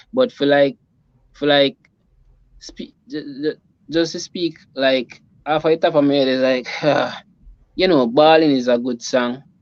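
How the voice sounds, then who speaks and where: With a Jamaican accent, a man speaks at a fairly slow pace with long, frequent pauses, fairly high pitch and ordinary pitch variation, in a dry, close sound with no echo. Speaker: reggae musician. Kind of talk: interview answer. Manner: casual, halting.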